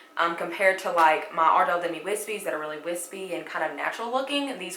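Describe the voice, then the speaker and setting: A woman with a Southern US accent speaks at a fairly quick pace in a fairly low voice, with ordinary pitch variation, audible room echo and noticeable background noise. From US South, Alabama. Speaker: beauty vlogger. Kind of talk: makeup tutorial. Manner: casual, chatty.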